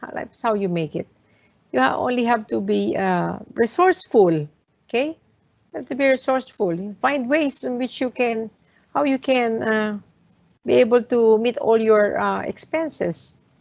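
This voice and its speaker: A woman with a Filipino accent speaks at a moderate pace in a fairly high voice, her intonation lively and her loudness swinging widely. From Philippines, Manila area. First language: Tagalog. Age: 60s. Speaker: hotel owner. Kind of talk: talk to students. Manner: halting, many fillers.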